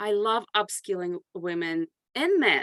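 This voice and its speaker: A woman speaks at a medium pitch. The very clean recording has a silent background and a dry, close sound with no echo. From grew up abroad, moved to US at 14. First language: not English. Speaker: consulting firm CEO and author. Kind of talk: podcast interview.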